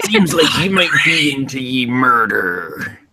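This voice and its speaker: A man puts on a character voice, fairly high in pitch and delivered at a fairly slow pace. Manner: playful, menacing.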